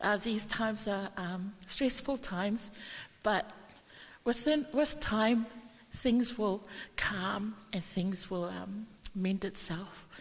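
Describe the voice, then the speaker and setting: A woman's fairly high, somewhat breathy voice at a very slow pace. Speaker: family member giving eulogy. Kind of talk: funeral tribute. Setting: church.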